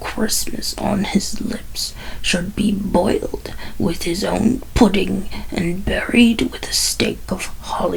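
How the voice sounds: Simply a natural reading voice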